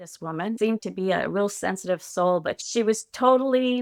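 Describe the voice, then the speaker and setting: A woman with an ordinary speaking voice talks at a fairly slow pace with ordinary pitch variation on a very clean recording with a silent background. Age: 60s. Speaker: retired educator. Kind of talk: personal interview testimony.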